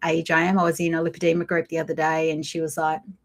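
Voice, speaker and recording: A woman with an Australian accent and a fairly low pitch, in a very clean recording with a silent background. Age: 50s. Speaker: lifestyle vlogger. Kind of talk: casual live chat. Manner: conversational, hesitant with fillers.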